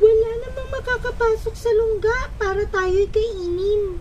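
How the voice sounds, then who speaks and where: Putting on a character voice at an extremely high pitch, a woman speaks at a fairly slow pace amid clear background noise. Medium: read story.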